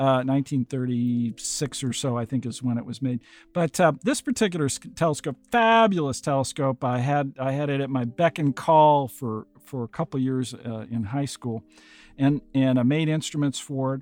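A man speaks in a Midwestern American accent on a very clean recording with a silent background. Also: medium pitch for a man, ordinary pitch variation, moderate pace, dry, close sound with no echo. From US Midwest, Iowa. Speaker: planetary scientist and podcast host. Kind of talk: interview, telling his story. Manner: halting, many fillers.

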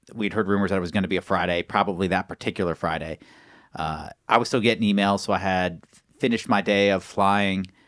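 Fairly low in pitch, a man talks at a fairly quick pace in an ordinary speaking voice. The sound is dry and close with no echo, in a very clean recording with a silent background. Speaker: astronaut candidate. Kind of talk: casual interview.

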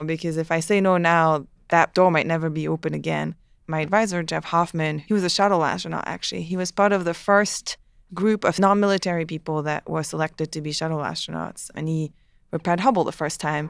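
In a French Canadian accent, a woman speaks at a fairly quick pace with fairly even intonation and a fairly low pitch. The recording is very clean, with a silent background. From Quebec (Montreal). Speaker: aerospace engineer. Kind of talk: interview.

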